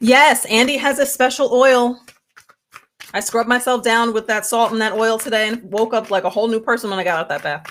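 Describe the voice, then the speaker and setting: Talking at a fairly quick pace, a woman uses a fairly high pitch with ordinary variation. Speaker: tarot reader. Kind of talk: live stream tarot reading. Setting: live stream. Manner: loud.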